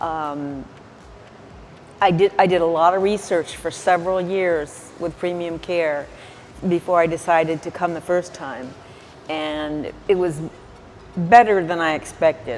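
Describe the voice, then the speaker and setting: Fairly low in pitch, a woman speaks at a fairly slow pace with long, frequent pauses. Noticeable background noise runs under her voice. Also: fairly even intonation, big swings in loudness. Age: 60s. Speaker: plastic surgery patient. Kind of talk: testimony. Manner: halting.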